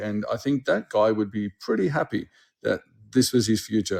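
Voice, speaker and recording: A man speaks with an Australian accent and a dark, mellow tone. The recording is very clean, with a silent background. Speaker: school dean and educator. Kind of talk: interview. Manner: halting.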